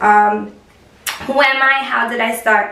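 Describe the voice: A woman talks at a slow pace and a fairly high pitch, her bright, sharp tone carrying vocal fry and fairly even intonation amid audible room echo.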